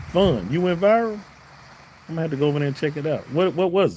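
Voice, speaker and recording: With a Southern US accent, a man talks in a fairly high pitch. His tone is dark and mellow. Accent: southern drawl. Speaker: YouTube reaction streamer. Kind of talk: live stream chat.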